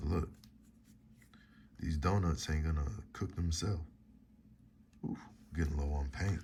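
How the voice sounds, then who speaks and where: A man's very deep, low voice at a moderate pace, fairly even in intonation, with long, frequent pauses. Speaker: painter and art livestreamer. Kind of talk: casual livestream painting chat. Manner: whispering early on, then louder.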